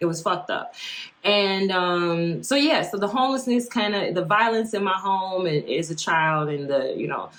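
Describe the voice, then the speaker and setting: With lively intonation, a woman talks at a medium pitch and a moderate pace. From South Side of Chicago. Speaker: podcast host. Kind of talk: casual podcast talk.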